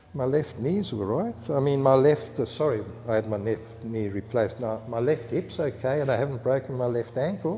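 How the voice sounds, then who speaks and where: A man's medium-pitched voice with ordinary pitch variation, hardly any pauses, and noticeable background noise. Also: moderate pace. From South Africa (Cape Town). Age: 70s. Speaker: surfboard shaper. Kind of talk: casual interview chat. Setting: in a workshop shed.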